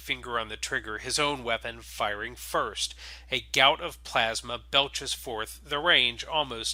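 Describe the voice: The voice is plain reading aloud with ordinary pitch variation.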